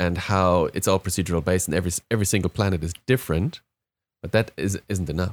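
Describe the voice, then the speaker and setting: A man with a German accent speaks at a very fast pace in a very deep, low pitch, his intonation fairly even, on a very clean recording with a silent background and a dry, close sound with no echo. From Germany. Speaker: podcast panel member, gamer. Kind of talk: casual chat.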